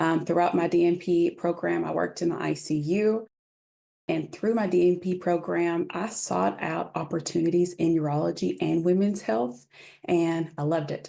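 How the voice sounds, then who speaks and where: The pace is moderate. The background is quiet. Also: woman. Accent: Kentucky. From Kentucky. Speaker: urology nurse practitioner. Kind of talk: lecture.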